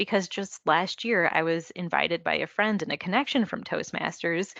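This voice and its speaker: Soft-spoken and moderately paced, the voice has a bright, sharp tone and ordinary pitch variation. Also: woman, medium pitch for a woman. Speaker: electrical engineer, market development manager. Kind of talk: interview. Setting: video call.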